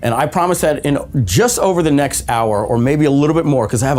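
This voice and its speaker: A man talks very fast with ordinary pitch variation over noticeable background noise. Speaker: webinar presenter. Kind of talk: live webinar training. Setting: studio, live stream.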